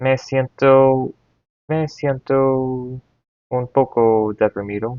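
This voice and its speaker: Speaking very slowly, a man keeps a medium pitch and a flat, monotone intonation. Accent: English. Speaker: Spanish learner. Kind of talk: reading aloud. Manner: halting.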